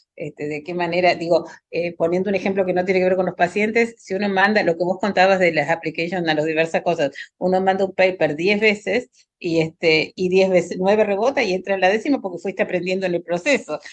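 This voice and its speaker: Very fast delivery comes from a woman. Her pitch is medium and varies ordinarily. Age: 60s. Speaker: pediatric hematologist. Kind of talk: panel discussion.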